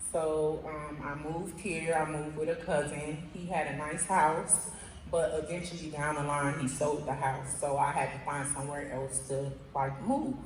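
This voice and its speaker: A woman with an American accent talks at a moderate pace with a very deep, low pitch and fairly even intonation, over noticeable background noise and audible room echo. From Miami, Florida. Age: 20s. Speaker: program participant, mother. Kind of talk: testimony. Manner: halting, with many fillers.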